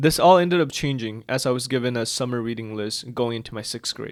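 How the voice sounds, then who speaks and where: A man with a non-native accent talks at a fairly quick pace and medium pitch on a very clean recording with a silent background. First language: not English. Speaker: book reviewer / video creator. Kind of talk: casual vlog monologue. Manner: hesitant, filler-heavy.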